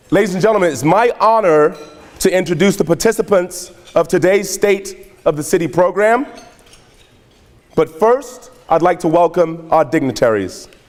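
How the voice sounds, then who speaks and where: Over noticeable background noise, a man talks at a moderate pace in a high voice with ordinary pitch variation. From England. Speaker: event emcee, former pro basketball player. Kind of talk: ceremonial event hosting, autobiographical introduction. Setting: stage with audience. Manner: formal.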